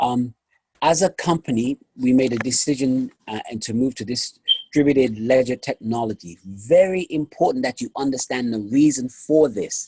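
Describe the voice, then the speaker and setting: At a moderate pace, a man with a medium pitch and ordinary pitch variation sounds somewhat breathy, with a dry, close sound and no echo. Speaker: company presenter. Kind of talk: sales pitch.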